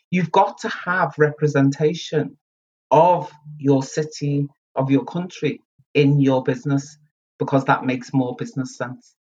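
In a Liverpool accent, a woman speaks with a very deep, low pitch, ordinary pitch variation, and a somewhat breathy voice. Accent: Liverpool (Scouse). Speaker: community centre chief executive. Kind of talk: interview.

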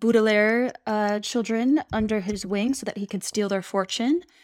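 A woman with an unremarkable speaking voice talks at a fairly slow pace and a fairly high pitch. The sound is dry and close with no echo. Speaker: podcast co-host. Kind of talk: casual chat.

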